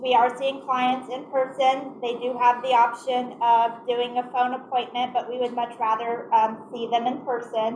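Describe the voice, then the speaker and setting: Loud and high-pitched, a woman speaks at a moderate pace with hardly any pauses. Her intonation is monotone and flat over noticeable background noise. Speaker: community agency office manager. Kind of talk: presentation. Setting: meeting room, also on Zoom.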